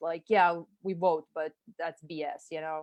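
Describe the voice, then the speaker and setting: A woman speaks with a Serbian accent at a moderate pace. Her intonation is monotone and flat. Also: dry, close sound with no echo. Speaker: marketing consultant, former special forces officer. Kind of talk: interview conversation. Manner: casual, filler-heavy. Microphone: audio delay on call.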